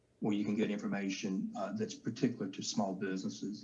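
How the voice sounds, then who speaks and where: A man speaks in a Southern US accent. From US South. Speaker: government contracting official. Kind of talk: panel discussion.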